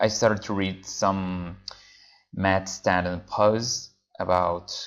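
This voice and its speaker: With a Venezuelan accent, a man speaks at a fairly low pitch. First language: Spanish. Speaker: freelance translator. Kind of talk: tutorial. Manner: casual with frequent fillers.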